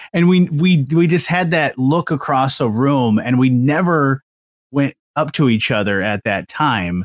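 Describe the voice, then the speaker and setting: On a very clean recording with a silent background, a man uses a normal speaking voice at a fairly high pitch. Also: fairly slow pace. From Southwest Michigan. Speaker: podcast host. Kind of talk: casual interview chat.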